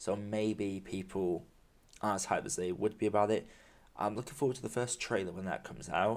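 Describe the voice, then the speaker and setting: With a British accent, a man speaks fairly quickly with ordinary pitch variation on a very clean recording with a silent background. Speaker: film podcaster. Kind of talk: solo podcast monologue. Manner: halting.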